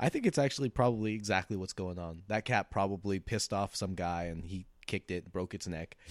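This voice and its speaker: A man with an American accent and a plain, everyday voice speaks at a fairly low pitch, at a fairly quick pace with hardly any pauses and ordinary pitch variation. The recording is very clean with a silent background, with a dry, close sound and no echo. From US Pacific Northwest. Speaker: comedian. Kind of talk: casual chat.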